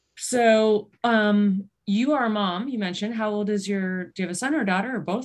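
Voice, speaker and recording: This woman has a normal speaking voice, medium in pitch, with an American accent and ordinary pitch variation. She keeps a moderate pace with hardly any pauses. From Western New York. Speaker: podcast host, cancer exercise specialist. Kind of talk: interview.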